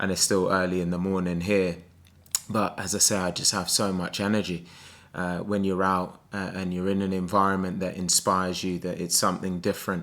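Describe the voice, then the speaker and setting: A man's very deep, low voice at a fairly quick pace, monotone and flat in intonation. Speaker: sales coach. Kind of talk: motivational vlog. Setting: abroad indoors, early morning. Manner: soft-spoken.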